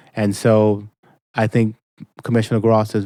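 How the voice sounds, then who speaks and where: Speaking in an American accent, a man has a fairly low pitch and a dark, mellow tone at a moderate pace, on a very clean recording with a silent background and a dry, close sound with no echo. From Boston, Mattapan. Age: 50s. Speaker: state representative. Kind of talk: interview.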